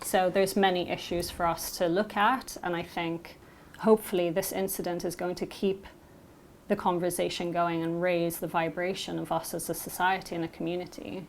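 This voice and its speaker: The voice carries a British accent at a moderate pace. Its intonation stays monotone and flat. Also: woman, fairly low pitch for a woman. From Malta, half Maltese half Scottish. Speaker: interviewee who helped a migrant. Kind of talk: interview.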